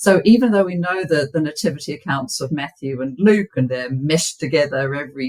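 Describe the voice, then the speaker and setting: A woman's somewhat breathy voice, very deep and low in pitch, with a New Zealand accent. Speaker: biblical scholar and author. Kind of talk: podcast interview. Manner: halting, many fillers and repeats.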